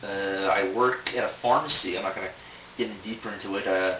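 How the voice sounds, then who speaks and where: Speaking fairly quickly in a Philadelphia accent, a man uses ordinary pitch variation amid noticeable background noise and audible room echo. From US, Philadelphia, Pennsylvania. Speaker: toy collector video blogger. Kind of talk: casual vlog answering questionnaire. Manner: hesitant, many fillers.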